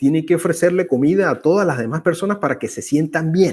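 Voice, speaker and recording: Fairly high-pitched for a man, this male voice has lively intonation. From Venezuela. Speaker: conversation series host. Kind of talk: casual conversation. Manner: halting, with fillers.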